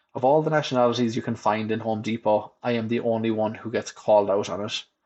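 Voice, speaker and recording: A man speaks very fast with a West of Ireland accent. His voice is medium in pitch, with fairly even intonation. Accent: Irish, West of Ireland. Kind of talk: reading own humorous blog essay. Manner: dry, wry.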